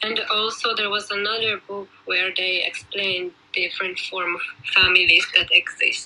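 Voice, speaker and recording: A woman speaks at a medium pitch in a flat, monotone way, with noticeable background noise behind her. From Finland, born in Poland. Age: 20s. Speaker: care home worker. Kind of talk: casual interview.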